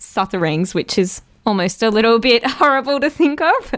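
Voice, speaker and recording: A woman's lively intonation carries her speech along at a moderate pace. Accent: Australian. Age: 20s. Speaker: podcast host. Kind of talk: casual interview chat. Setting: remote call.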